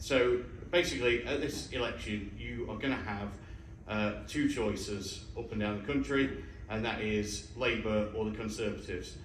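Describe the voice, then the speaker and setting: A man talks at a moderate pace with an East Midlands accent and fairly low pitch. His pitch varies in an ordinary way, and the room echo is audible. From Mansfield, North Nottinghamshire, England. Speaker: parliamentary candidate. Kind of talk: hustings speech. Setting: university hall with live audience.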